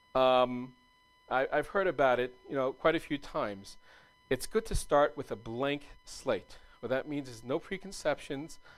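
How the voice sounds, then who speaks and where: A man talks in a fairly high voice while music plays behind him. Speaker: meetup speaker on software UI design. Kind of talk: presentation. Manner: fast.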